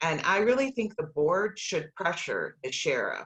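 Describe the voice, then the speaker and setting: A woman's bright, sharp tone at a fairly slow pace. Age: 60s. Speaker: county board candidate. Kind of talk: candidate forum.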